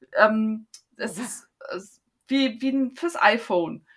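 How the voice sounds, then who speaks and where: The woman's voice has a bright, sharp tone. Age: 50s. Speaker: endometriosis patient. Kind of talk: interview.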